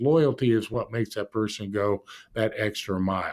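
Speaking with an American accent in a plain, everyday voice, a man keeps a moderate pace and ordinary pitch variation in a very clean recording with a silent background. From Indianapolis, Indiana (US Midwest). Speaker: business executive, former NFL coach. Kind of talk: interview.

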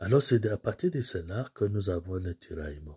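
A man speaks at a fairly slow pace against a quiet background, his dark, mellow tone somewhat breathy and his pitch varying in an ordinary way. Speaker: priest giving homily. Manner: earnest, didactic, steady pace, explains scripture readings point by point; formal, pastoral, addresses listeners directly as brothers and sisters. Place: home room. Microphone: phone near.

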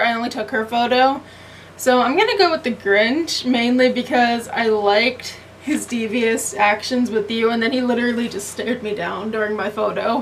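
A woman speaks in a high pitch with ordinary pitch variation. Light background noise can be heard. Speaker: vlogger. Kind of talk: casual vlog chat. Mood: amused, laughing. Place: kitchen. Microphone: phone near.

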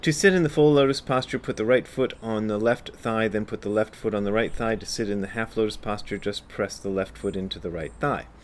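A fairly low-pitched man talks at a fairly quick pace with hardly any pauses and ordinary pitch variation. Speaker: zen teacher. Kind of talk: reading aloud with commentary. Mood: calm, lightly humorous. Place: garden. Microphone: phone near.

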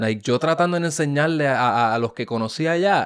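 A man with a fairly high voice speaks at a moderate pace with lively intonation against a quiet background. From Puerto Rico (Ponce); Puerto Rico. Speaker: podcast host. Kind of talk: casual interview. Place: studio. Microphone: studio mic.

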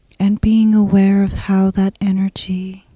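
A woman speaks at a medium pitch in a somewhat breathy voice, with a gentle, calm tone, a dark, mellow tone and fairly even intonation. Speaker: hypnosis guide. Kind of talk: guided hypnosis meditation. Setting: solo audio recording. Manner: slow, soothing, hushed and unhurried, with long pauses; gentle, calm, hypnotic cadence.

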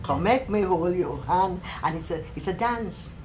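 A woman speaks with a Jamaican accent. Light background noise is audible. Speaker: folklorist. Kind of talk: interview answer. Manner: bright, sunny. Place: home room.

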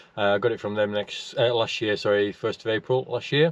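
A man's voice, dry with no echo, moves at a moderate pace. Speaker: motorcycle vlogger. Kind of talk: casual vlog chat. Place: car. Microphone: phone near.

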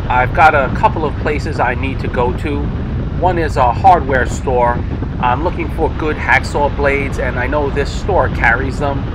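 Speech moves at a moderate pace with noticeable background noise behind it. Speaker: vlogger riding a scooter. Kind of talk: casual vlog chat. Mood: relaxed, upbeat. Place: motorbike.

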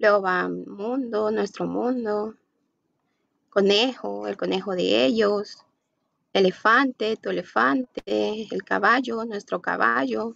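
Speech at a very slow pace, recorded dry with no echo against a quiet background. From Guatemala. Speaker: university student. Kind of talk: class presentation. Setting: video call. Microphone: video call.

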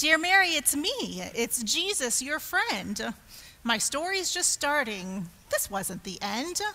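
Using a put-on character voice, a woman speaks slowly at a high pitch with big pitch swings and a bright, sharp tone.

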